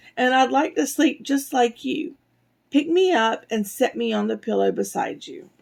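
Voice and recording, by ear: In a put-on character voice, a female-sounding speaker talks at a moderate pace with a high, raspy voice.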